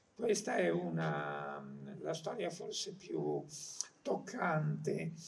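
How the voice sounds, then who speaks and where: Amid noticeable background noise and audible room echo, a man speaks at a very slow pace with fairly even intonation. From Marche, Italy. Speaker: journalist and essayist. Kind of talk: public talk. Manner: halting.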